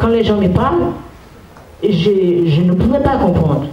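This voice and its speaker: A woman with a non-native accent at a very slow pace, lively intonation, noticeable background noise and audible room echo. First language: not French (speaking French). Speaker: school visitor speaking to pupils. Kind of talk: talk to a class.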